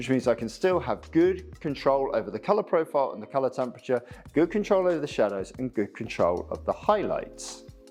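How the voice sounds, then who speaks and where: A man speaks with a British accent at a fairly high pitch. His voice makes very wide pitch swings. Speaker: photographer. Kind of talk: tutorial. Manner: fast.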